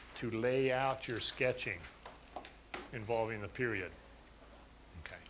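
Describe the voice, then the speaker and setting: Audible room echo carries a man's medium-pitched voice, which keeps a fairly even intonation. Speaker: college math instructor. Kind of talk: lecture. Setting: classroom with students.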